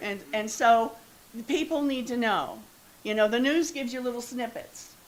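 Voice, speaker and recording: In an Ohio accent, a woman talks at a moderate pace with a high pitch and ordinary pitch variation, and room echo is audible. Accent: Midwestern US (Ohio). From northeast Ohio, Youngstown. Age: 70s. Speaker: resident speaking at public comment. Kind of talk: public comment at council meeting. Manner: halting.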